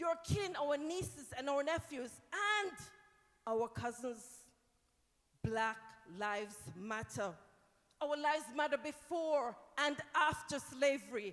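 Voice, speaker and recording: Very slowly, with long, frequent pauses, a woman speaks at a high pitch in lively intonation. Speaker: spoken word poet. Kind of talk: spoken word poetry performance. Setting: live event. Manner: impassioned.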